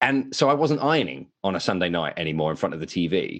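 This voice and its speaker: With an American accent, a man speaks at a moderate pace with very wide pitch swings against a quiet background. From England. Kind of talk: casual interview chat. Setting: remote call from New Jersey.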